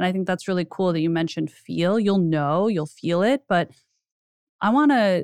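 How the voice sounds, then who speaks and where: A woman at a medium pitch, the sound dry and close with no echo, in a quiet background. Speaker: podcast host. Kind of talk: interview and sponsor pitch. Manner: warm, enthusiastic.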